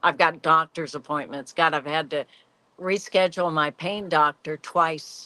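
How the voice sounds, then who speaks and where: A woman's very deep, low voice at a fairly slow pace, with fairly even intonation over a quiet background. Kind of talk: casual chat.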